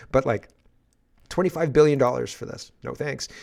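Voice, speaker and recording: Speaking with fairly high pitch, a man uses an animated tone and ordinary pitch variation. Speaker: political commentary host. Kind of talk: news commentary monologue.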